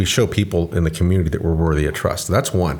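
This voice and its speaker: A man's somewhat breathy voice. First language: Spanish. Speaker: police chief. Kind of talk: casual chat.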